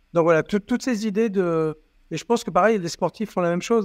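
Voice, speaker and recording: A man speaks at a fairly quick pace with ordinary pitch variation in a plain, everyday voice. The sound is dry and close with no echo, over a quiet background. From southern France, Toulon. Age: 50s. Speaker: company CEO. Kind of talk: interview.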